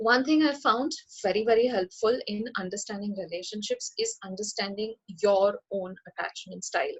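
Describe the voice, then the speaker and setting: A woman talks with ordinary pitch variation and a somewhat breathy voice. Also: fairly high pitch for a woman. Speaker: psychology professor and counselor. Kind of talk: webinar lecture. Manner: fast.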